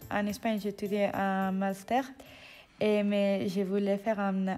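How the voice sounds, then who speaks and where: The recording is very clean, with a silent background. A woman speaks at a medium pitch with a dark, mellow tone and fairly even intonation. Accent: Spanish. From Spain. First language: Spanish (speaking French). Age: 20s. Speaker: civic service volunteer. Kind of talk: interview. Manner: halting.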